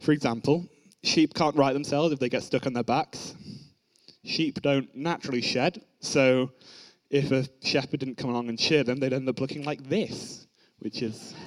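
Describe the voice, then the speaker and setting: This man has a plain, everyday voice, pitched fairly high, with fairly even intonation at a moderate pace. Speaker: young preacher at youth service. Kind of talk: sermon. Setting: church.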